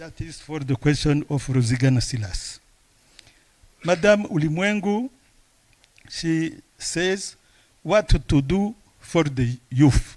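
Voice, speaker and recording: A man with a fairly high voice speaks very slowly and with lively intonation, leaving long, frequent pauses. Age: old. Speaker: book author. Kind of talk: Q&A at book launch. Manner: halting.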